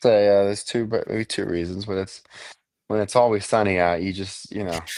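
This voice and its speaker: With an American accent, a man uses an unremarkable speaking voice, fairly low in pitch, at a fairly quick pace with fairly even intonation. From Florida. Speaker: construction and fashion entrepreneur. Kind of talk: casual interview. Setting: livestream.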